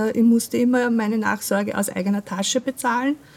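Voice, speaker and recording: The speaker has an Austrian accent. The pace is fairly quick. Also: woman. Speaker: patient advocate, skin cancer survivor. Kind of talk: interview.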